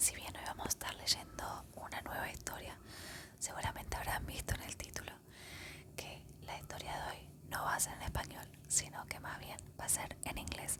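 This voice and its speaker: Someone whispers at a very fast pace. Noticeable background noise sits behind the voice. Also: woman. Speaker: ASMR storyteller. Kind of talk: casual talk to camera. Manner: soft whisper.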